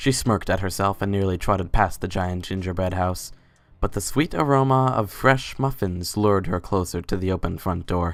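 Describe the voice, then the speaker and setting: Ordinary pitch variation on a very clean recording with a silent background. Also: man, very deep, low pitch for a man, moderate pace. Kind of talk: dramatic story narration.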